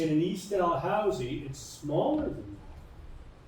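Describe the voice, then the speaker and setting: A man's dark, mellow, somewhat breathy tone with audible room echo. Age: 70s. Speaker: retired teacher and woodlot owner. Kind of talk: public information session talk. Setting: community hall with audience.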